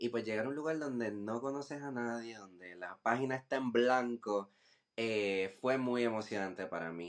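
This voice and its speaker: Here is a man with an unremarkable speaking voice at a medium pitch. His intonation is fairly even and his pace moderate. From Puerto Rico, Humacao. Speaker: visual artist. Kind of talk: podcast interview.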